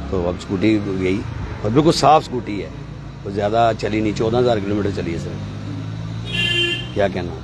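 Amid clear background noise, a man with a fairly low pitch speaks at a moderate pace with lively intonation and long, frequent pauses.

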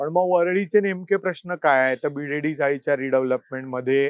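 A man talks in a plain, everyday voice. His pitch is fairly high, with ordinary pitch variation. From Mumbai, Worli. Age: 40s. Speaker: newspaper editor and political candidate. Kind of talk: interview.

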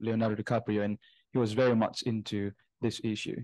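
A dark, mellow voice with flat, monotone intonation, in an Indonesian accent, over a quiet background. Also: man. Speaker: student, audience member; audience member. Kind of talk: audience question. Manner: halting. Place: home room. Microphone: video call.

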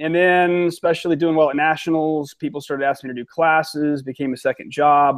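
Against a quiet background, a man with an American accent talks fairly quickly in a fairly high pitch. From Ohio, US Midwest. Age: 30s. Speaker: competitive shooter and firearms instructor. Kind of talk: casual interview chat. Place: home room.

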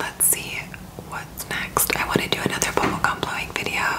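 The whispering voice of a woman. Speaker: beauty vlogger. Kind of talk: casual vlog chat. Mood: cheerful, excited. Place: home room. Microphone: phone near.

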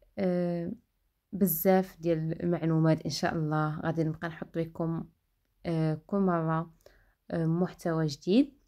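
A woman with a dark, mellow tone speaks in a fairly low pitch with fairly even intonation on a very clean recording with a silent background. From Morocco, El Jadida. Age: 20s. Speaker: vlogger, vocational trainee. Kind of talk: vlog monologue. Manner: halting, frequent 'ah' fillers.

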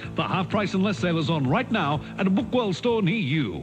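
With music in the background, a man talks at a fairly quick pace in a high pitch, keeping his loudness very even. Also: lively intonation. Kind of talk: TV commercial read.

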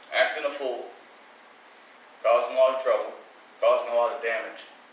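The pace is fairly quick. Audible room echo and light background noise surround the voice. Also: man. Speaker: lay preacher. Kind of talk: sermon. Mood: earnest, confessional. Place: church. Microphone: podium.

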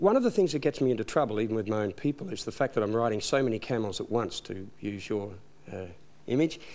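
Very fast and with lively intonation, a man talks with an Australian accent. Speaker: minister of religion and chaplain to bikers; minister of religion. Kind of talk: TV interview. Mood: earnest, reflective. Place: studio.

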